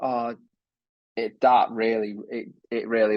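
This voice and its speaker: Flat, monotone intonation marks this man's speech. He has a medium-pitched voice with a Lancashire accent. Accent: northern English (Lancashire). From northern England, Lancashire coast. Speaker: wheelchair athlete. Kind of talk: casual interview chat.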